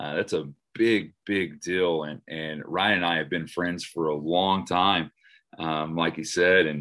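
Very deep and low, a man's voice with an American accent moves at a fairly slow pace with fairly even intonation. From Oklahoma. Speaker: next gen pastor. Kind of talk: casual talk on group call. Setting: group call.

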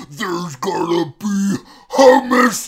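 The speaker puts on a strained character voice. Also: man. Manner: strained, nagging.

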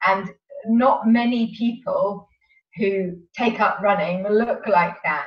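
A woman with a southern English accent, medium-pitched and somewhat breathy, at a very slow pace with ordinary pitch variation. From southern England, Sevenoaks, Kent. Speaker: running coach. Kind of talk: interview.

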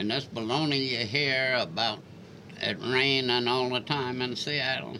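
A Lowcountry accent at a fairly slow pace, with fairly even intonation and very even loudness, amid audible room echo and noticeable background noise. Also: man, medium pitch for a man. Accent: Lowcountry Southern US. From Charleston, South Carolina. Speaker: public housing resident, retiree. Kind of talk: interview, life story. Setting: radio studio.

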